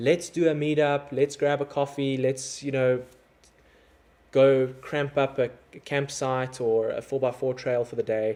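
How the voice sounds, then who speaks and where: This man speaks with a South African accent at a fairly slow pace. His fairly high voice has a dark, mellow tone and a monotone, flat intonation. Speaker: overlanding content creator. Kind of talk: livestream chat with viewers. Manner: casual, conversational.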